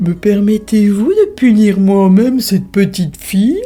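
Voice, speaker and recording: A put-on character voice speaks at a moderate pace over faint music in the background. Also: female-sounding voice, medium pitch for a woman. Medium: read story. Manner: sly, mock-gentle.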